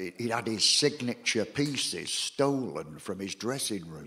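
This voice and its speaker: The speaker uses a Salford accent at a very slow pace. Pitch swings are very wide. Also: man. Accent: Salford, northern English. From Salford, England. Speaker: performance poet. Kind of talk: comic stage patter. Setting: live theatre audience. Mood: wry, sardonic storytelling. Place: home room.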